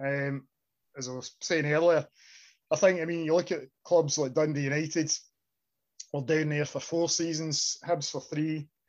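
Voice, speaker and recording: A man with a Scottish accent speaks at a moderate pace with long, frequent pauses, his fairly high pitch held in fairly even intonation over a quiet background. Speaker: podcast host. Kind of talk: casual chat. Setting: studio.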